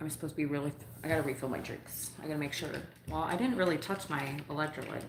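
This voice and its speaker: Speaking at a very fast pace with an American accent, a woman has a very deep, low pitch with ordinary pitch variation, heard with audible room echo and noticeable background noise. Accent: Upper Midwest, noticed on West Coast. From northern Illinois, US Midwest. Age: 40s. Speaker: livestreamer and delivery driver. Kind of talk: casual livestream chat. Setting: at home, between delivery runs. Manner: casual, rambling.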